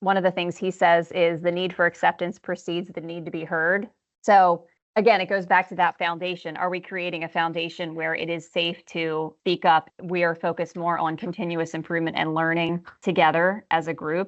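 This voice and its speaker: The speech comes at a fairly quick pace in a monotone, flat intonation. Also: woman, fairly low pitch for a woman. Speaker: podcast co-host. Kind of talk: podcast interview. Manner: fast.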